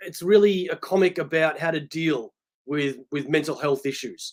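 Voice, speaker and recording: A man with an Australian accent talks at a moderate pace, his pitch varying in an ordinary way. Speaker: comic book collector. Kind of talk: casual chat.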